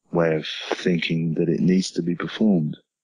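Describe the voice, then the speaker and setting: A man talks at a moderate pace in a very deep, low voice. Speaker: singer, songwriter and record producer. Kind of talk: casual self-recorded interview answer. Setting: portable tape recorder, single mic, mono.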